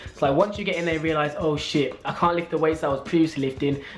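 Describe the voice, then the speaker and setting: Over faint background music, a man talks at a very fast pace with fairly even intonation. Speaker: fitness vlogger. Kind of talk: casual vlog chat. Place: home room. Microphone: webcam.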